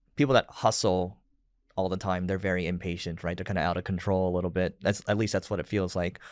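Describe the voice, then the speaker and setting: The recording is very clean, with a silent background. On it, a man speaks with a very deep, low pitch. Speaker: podcast host. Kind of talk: interview.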